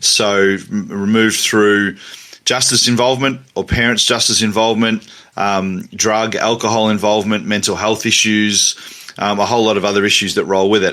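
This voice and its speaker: With an Australian accent, a man talks at a fairly quick pace in a fairly low, bright, sharp voice, his intonation fairly even. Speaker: academic and teacher. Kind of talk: interview. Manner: halting, many fillers and repetitions.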